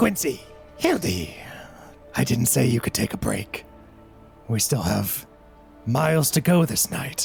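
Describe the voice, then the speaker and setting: A man's put-on character voice at medium pitch and a fairly slow pace, with clear music in the background. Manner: angry.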